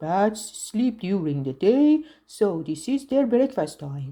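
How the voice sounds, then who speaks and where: A woman uses a put-on character voice at a medium pitch, with very wide pitch swings. She goes at a fairly slow pace. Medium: read story.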